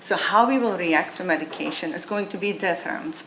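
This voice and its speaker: A woman with a non-native accent at a fairly quick pace, with audible room echo and noticeable background noise. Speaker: biotech company founder and CEO. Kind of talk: conference talk.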